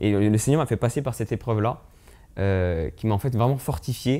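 The speaker has a dark, mellow tone and keeps a moderate pace. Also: man. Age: 20s. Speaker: young missionary. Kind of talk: testimony. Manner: halting. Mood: calm, earnest, reflective. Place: home room. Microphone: lapel.

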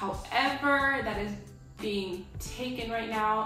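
A woman is heard over clear background music, with audible echo from the room. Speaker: video creator. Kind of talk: casual vlog chat. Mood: relaxed, chatty. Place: home room. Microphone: camera far.

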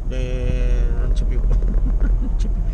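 Loud background noise competes with a man as he talks. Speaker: driver vlogger. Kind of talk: casual vlog chat. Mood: irritated at other drivers. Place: car. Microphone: phone near.

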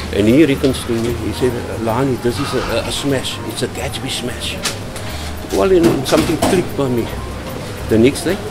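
A moderate pace with ordinary pitch variation and long, frequent pauses, with music in the background. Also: man. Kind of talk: storytelling interview answer. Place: kitchen.

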